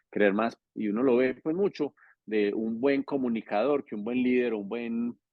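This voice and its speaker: Mid-range male speech with normal rise and fall in pitch. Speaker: politician. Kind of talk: interview. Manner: fast; natural, informal.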